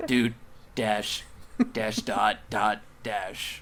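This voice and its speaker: Over clear background noise, a man puts on a raspy character voice at a medium pitch. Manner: evil, menacing.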